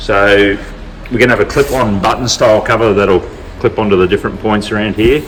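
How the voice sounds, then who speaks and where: Fairly low in pitch, a man talks with an Australian accent at a fairly quick pace. His intonation is fairly even, and there is noticeable background noise. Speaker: vehicle builder and channel host. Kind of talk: casual workshop vlog.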